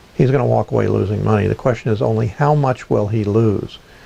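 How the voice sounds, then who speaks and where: A man talks over noticeable background noise. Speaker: real estate investor and mentor. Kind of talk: tutorial. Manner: fast.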